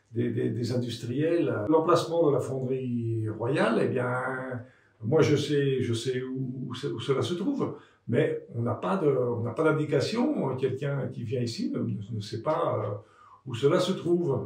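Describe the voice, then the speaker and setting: A man's medium-pitched voice at a very slow pace with ordinary pitch variation, audible room echo and noticeable background noise. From France, Le Creusot (Burgundy). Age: 70s. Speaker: local resident and former elected official. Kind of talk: interview testimony. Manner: halting, many hesitations and repeated words.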